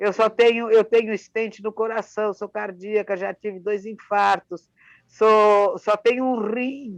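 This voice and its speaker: A woman talks at a fairly slow pace in a monotone, flat intonation. The sound is dry and close, with no echo. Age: 70s. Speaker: author. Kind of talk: casual chat. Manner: halting.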